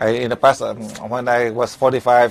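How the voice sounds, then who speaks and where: A man with a Vietnamese accent speaks in a monotone, flat intonation. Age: 70s. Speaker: spiritual teacher. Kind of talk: lecture. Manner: halting.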